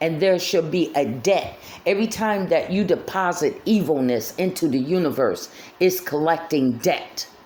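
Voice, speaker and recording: Over noticeable background noise, a woman with a fairly low pitch speaks in an animated tone with lively intonation and very even loudness. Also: moderate pace. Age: 50s. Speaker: vlogger. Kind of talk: personal monologue. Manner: repetitive, halting.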